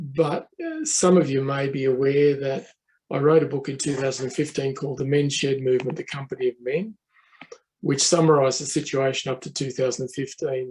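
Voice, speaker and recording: The speaker has an Australian accent and a somewhat breathy voice. The pace is fairly quick and the intonation fairly even. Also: man, fairly high pitch for a man. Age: 70s. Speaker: professor. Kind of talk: conference talk. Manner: hesitant, many fillers.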